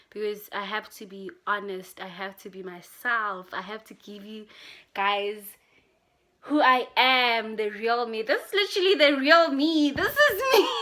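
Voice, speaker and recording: A woman with a fairly high, bright and sharp voice, animated tone and lively intonation, fairly slow pace, big swings in loudness, on a very clean recording with a silent background. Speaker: vlogger. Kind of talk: casual vlog monologue. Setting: home, in pajamas. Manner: animated, laughing.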